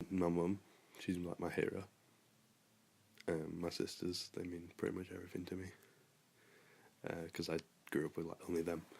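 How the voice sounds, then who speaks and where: A man's very deep, low voice with monotone, flat intonation, a moderate pace and long, frequent pauses. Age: 20s. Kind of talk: interview.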